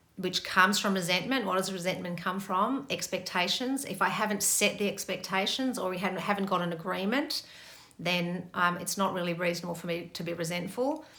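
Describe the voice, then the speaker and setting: With noticeable background noise and audible room echo, a woman of medium pitch speaks at a fairly quick pace with ordinary pitch variation. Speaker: meditation and relationship teacher. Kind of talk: Q&A talk. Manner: fast.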